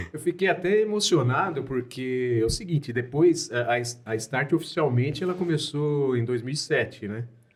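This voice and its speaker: Over noticeable background noise, a man speaks at a moderate pace and fairly high pitch with lively intonation. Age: 60s. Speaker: company co-founder. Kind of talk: casual chat.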